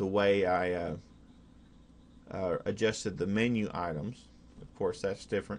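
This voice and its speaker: With an Oklahoma accent, a man with a fairly low voice speaks at a fairly slow pace against a quiet background. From Oklahoma, USA. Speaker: hobbyist programmer. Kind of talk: casual screen-recorded software demo. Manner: hesitant, many fillers.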